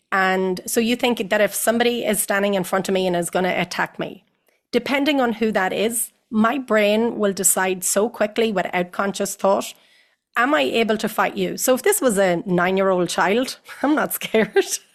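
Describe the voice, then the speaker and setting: Her medium-pitched voice shows ordinary pitch variation as the woman speaks. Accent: Irish. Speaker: psychotherapist. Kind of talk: interview answer. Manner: fast.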